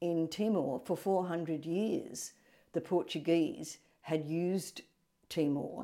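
Speaking at a very slow pace, a woman with an Australian accent has a fairly low pitch, a dark, mellow tone and ordinary pitch variation on a very clean recording with a silent background. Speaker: retired English teacher. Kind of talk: interview.

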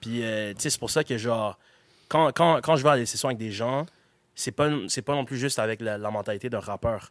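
A man with an unremarkable speaking voice talks at a medium pitch and moderate pace, with ordinary pitch variation. The recording is very clean with a silent background, and the sound is dry and close with no echo. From Quebec, Gatineau. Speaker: rapper and beatmaker. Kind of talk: interview. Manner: casual, filler-heavy.

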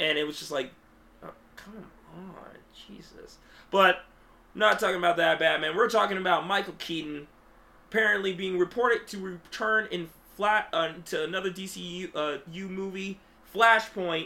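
A man's high-pitched, raised, projected voice comes at a moderate pace, broken by long, frequent pauses. His loudness swings widely. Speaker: podcast host. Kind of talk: casual chat. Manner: animated.

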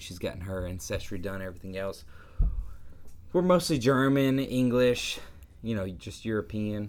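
This voice has a Southern US accent. It belongs to a man. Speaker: podcast co-host. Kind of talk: casual chat.

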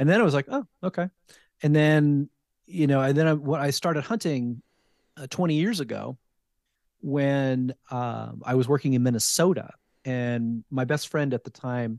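A man with an American accent and a fairly high voice talks at a moderate pace with ordinary pitch variation and long, frequent pauses, the sound dry and close with no echo over a quiet background. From New Jersey, US. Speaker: wild game chef. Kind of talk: casual interview.

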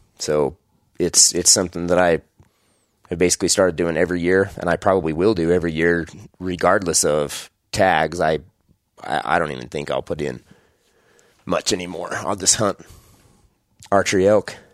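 On a very clean recording with a silent background, a man with an American accent and a very deep, low voice speaks at a moderate pace with fairly even intonation and long, frequent pauses. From Idaho, US. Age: 30s. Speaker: hunting podcast host. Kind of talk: solo podcast monologue. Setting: home bedroom, recording alone.

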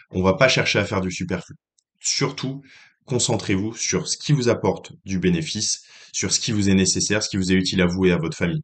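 Against a quiet background, a man speaks at a fairly quick pace. His voice sits fairly low, and his intonation is lively. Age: 20s. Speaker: podcast host giving financial advice. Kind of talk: solo advice monologue. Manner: hesitant, many fillers and repetitions.

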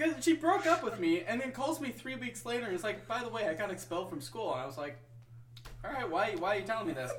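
Against noticeable background noise, a high-pitched man with an American accent talks at a very fast pace with very wide pitch swings. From US Midwest, Wisconsin. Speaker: podcast co-host. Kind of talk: casual chat.

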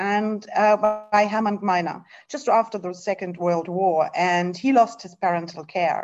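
A woman with a German accent, medium pitch and a moderate pace. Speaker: nonprofit executive. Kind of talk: interview. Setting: video call.

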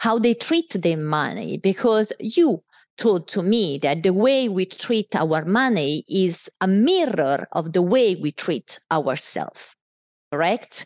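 A woman speaks with an Italian accent at a medium pitch and a very slow pace. Her intonation is lively, and the background is quiet. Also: dry, close sound with no echo. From Italy. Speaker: business executive. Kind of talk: casual interview.

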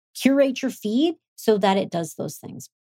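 At a moderate pace, a woman with a fairly high pitch and very wide pitch swings speaks in a dark, mellow, somewhat breathy tone. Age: 30s. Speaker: podcast host and entrepreneur. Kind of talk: solo motivational talk. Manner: upbeat.

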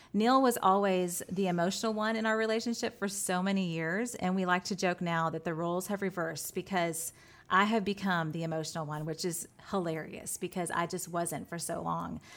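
A woman at medium pitch with a plain, everyday voice, fairly even intonation and a fairly quick pace. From Texas. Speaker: designer and business co-owner, pastor's wife. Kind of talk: testimony.

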